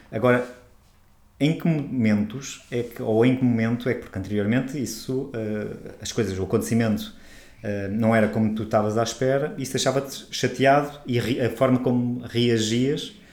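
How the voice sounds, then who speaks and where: A man speaks at a moderate pace and medium pitch, his intonation fairly even, with audible room echo around him. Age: 40s. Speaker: holistic therapist and podcast co-host. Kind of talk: casual chat.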